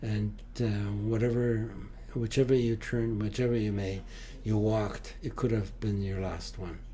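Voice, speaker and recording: Monotone and flat, the speech moves at a moderate pace with audible room echo. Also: man, fairly low pitch for a man. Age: 80s+. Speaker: Holocaust survivor. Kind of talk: interview. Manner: halting, frequent uh fillers.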